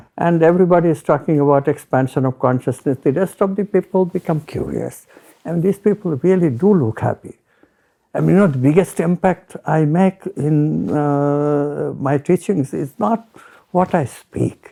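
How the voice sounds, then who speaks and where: A man with an Indian accent speaks at a moderate pace and fairly high pitch, his tone dark and mellow with ordinary pitch variation, in a dry, close sound with no echo. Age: old. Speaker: retired physics professor. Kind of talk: interview.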